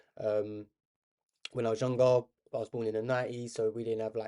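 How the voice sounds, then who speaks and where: A man talks at a very fast pace. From South London. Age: 30s. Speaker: chess streamer. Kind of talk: live stream commentary while playing chess. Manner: casual, rambling chatty.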